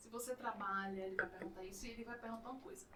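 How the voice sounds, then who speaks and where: Here a woman talks in a Bahian accent. Her pitch varies in an ordinary way. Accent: Bahian Brazilian Portuguese. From Bahia, Brazil. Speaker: podcast host, teacher. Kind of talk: casual chat.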